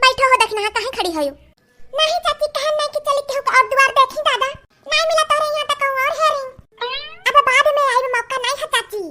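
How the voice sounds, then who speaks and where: A woman does a cartoonish character voice with an extremely high pitch at a moderate pace. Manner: gossipy rustic chatter.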